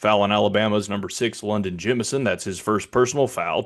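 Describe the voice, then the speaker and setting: At a fairly quick pace, a man with a fairly low pitch talks in an ordinary speaking voice. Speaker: public address announcer. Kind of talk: neutral basketball PA announcement. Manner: even, restrained.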